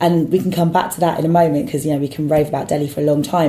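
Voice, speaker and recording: The woman's voice is somewhat breathy. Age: 30s. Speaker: football fan pundit. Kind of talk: casual chat.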